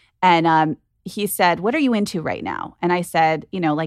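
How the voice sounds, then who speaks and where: A woman's fairly low-pitched voice, a plain, everyday voice, at a moderate pace with lively intonation and a dry, close sound with no echo. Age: 40s. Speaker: venture capitalist. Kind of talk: casual chat. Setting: studio.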